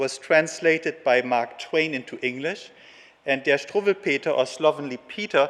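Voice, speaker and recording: A man speaks in a German accent at a fairly high pitch. Noticeable background noise can be heard. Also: ordinary pitch variation, moderate pace. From Germany. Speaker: geneticist and conference speaker. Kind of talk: conference lecture. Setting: conference stage with audience.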